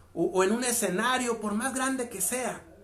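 With noticeable background noise, a man speaks using ordinary pitch variation. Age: 40s. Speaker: motivational speaker. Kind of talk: motivational monologue.

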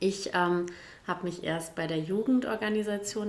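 Audible room echo surrounds a woman speaking at medium pitch. She talks at a fairly slow pace with ordinary pitch variation. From Gütersloh area, East Westphalia, Germany. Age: 40s. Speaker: state politician. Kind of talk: casual chat.

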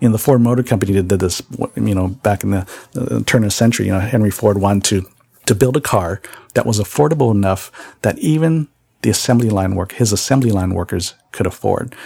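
Talking at a very fast pace, a man with an American accent and a fairly low pitch sounds somewhat breathy, his intonation lively. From San Jose, California. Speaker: podcast host. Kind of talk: podcast monologue. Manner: halting, many fillers.

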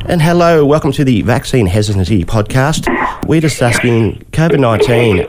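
A man's moderately paced speech, with ordinary pitch variation, competes with noticeable background noise. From Western New South Wales, Australia. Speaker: podcast host, journalist. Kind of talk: interview.

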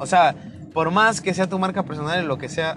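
A man with a Mexican accent at a fairly slow pace, ordinary pitch variation, and noticeable background noise. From Mexico. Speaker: podcast host. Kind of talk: casual monologue.

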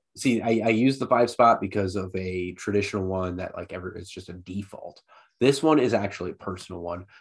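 A man with an ordinary speaking voice, fairly low in pitch with ordinary pitch variation, at a fairly quick pace with big swings in loudness, over a quiet background. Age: 30s. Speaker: soccer podcast co-host. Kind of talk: casual chat.

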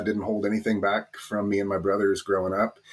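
A man with a Californian accent speaks at a fairly low pitch. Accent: Californian American. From Northern California, US. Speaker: bitcoin education card entrepreneur. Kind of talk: interview.

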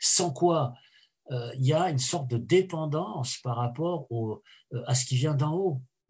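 Against a quiet background, the somewhat breathy voice shows ordinary pitch variation. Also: man. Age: 70s. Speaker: historian. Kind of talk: interview. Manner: halting.

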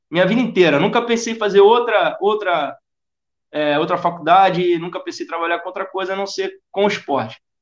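The speaker has a Rio de Janeiro accent. Delivery is fairly quick, with ordinary pitch variation. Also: man, high pitch for a man. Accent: carioca. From Rio de Janeiro (Tijuca). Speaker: football fitness coach. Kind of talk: interview. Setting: podcast recording.

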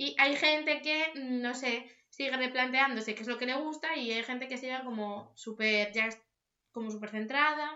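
A high-pitched woman's voice with fairly even intonation. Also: moderate pace. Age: 20s. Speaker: podcast co-host. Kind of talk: casual chat. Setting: at home.

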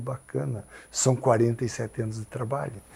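A man's dark, mellow, somewhat breathy voice. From Paraná interior, Brazil. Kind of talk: interview conversation.

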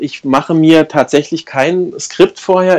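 A man with a fairly high pitch, ordinary pitch variation and a very slow pace. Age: 40s. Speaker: life coach. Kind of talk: interview. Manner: hesitant, many filler sounds.

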